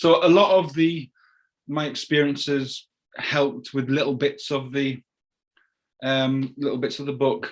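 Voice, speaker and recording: With a Cumbrian accent, a man speaks at a fairly slow pace in a fairly high voice, using ordinary pitch variation and long, frequent pauses. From Carlisle, England. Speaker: crime novelist. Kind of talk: interview answer.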